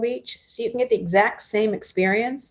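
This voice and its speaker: In a quiet setting, a woman talks at a fairly high pitch with fairly even intonation. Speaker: tourism bureau executive. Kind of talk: panel interview. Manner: fast.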